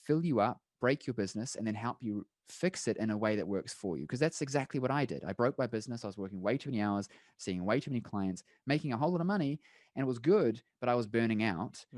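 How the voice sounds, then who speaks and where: With a strong New Zealand accent, the speaker talks at a very fast pace with lively intonation, in a dry, close sound with no echo and a quiet background. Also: man, medium pitch for a man. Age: young. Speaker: chiropractor and business coach. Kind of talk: podcast interview pitch.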